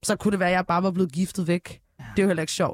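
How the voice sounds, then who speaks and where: A woman's monotone, flat delivery with a dry, close sound and no echo. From northern Ethiopia, adopted to Denmark at 8. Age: 20s. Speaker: singer, talent show contestant. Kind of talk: casual chat.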